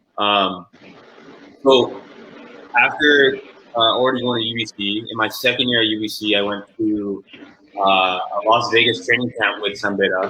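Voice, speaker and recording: Man with a Canadian accent and medium pitch at a moderate pace, fairly even intonation, long, frequent pauses and noticeable background noise. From Vancouver, Canada. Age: 20s. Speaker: professional basketball player. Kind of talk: interview.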